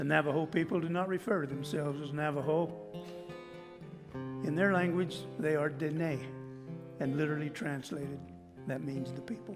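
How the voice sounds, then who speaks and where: A man with an American accent, long, frequent pauses and music in the background. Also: fairly high pitch for a man, ordinary pitch variation, moderate pace. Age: 70s. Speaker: cowboy poet. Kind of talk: stage introduction to audience. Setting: live stage.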